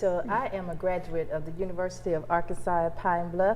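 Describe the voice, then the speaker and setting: A woman with an American accent talks at a fairly quick pace and fairly low pitch, with audible room echo and noticeable background noise. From US South, Mississippi Delta. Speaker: college professor. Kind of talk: interview on campus TV show.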